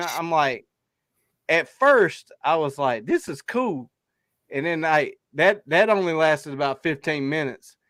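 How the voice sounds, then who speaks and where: A man speaks with an American accent at a moderate pace. His pitch is fairly high. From South Carolina. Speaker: hunting podcast host. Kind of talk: casual chat.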